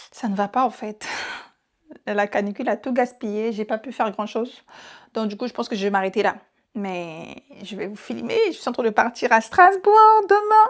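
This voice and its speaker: A woman's fairly high voice with ordinary pitch variation, big swings in loudness and long, frequent pauses. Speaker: vlogger. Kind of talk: casual vlog talk to camera. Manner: fast.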